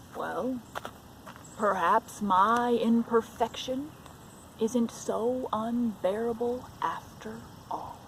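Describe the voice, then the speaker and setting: A woman puts on a character voice at a fairly high pitch, talking very slowly with long, frequent pauses over clear background noise and a rumbling sound. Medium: read story. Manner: grumbling, dramatic.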